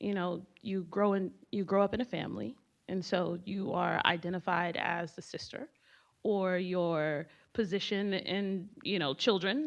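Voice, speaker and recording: A woman speaks at a fairly slow pace and a medium pitch against a quiet background. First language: Haitian Creole. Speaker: business alumna, panelist. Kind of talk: panel discussion.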